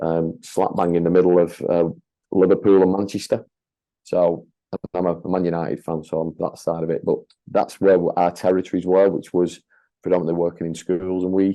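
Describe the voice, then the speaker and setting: With a northern English accent, a man with a very deep, low pitch talks at a fairly quick pace in a monotone, flat intonation. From northern England, Leigh near Wigan. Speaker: franchise owner and leadership consultant. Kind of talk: podcast interview. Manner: hesitant, many fillers and repetitions.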